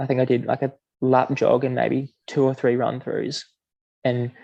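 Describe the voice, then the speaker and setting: A man with vocal fry speaks at a medium pitch in a dark, mellow tone, his intonation monotone and flat. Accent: Australian. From Queensland, Australia. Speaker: middle-distance runner. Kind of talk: podcast interview answer. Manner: quietly spoken.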